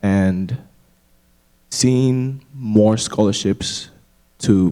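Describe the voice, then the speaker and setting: A man speaks in a dark, mellow tone with fairly even intonation, recorded very cleanly against a silent background. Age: 20s. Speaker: student panelist. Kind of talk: panel discussion.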